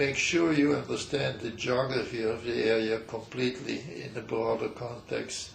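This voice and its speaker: A man talks at a fairly slow pace. Noticeable background noise can be heard. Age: 90s. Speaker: geologist, emeritus professor. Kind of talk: interview answer.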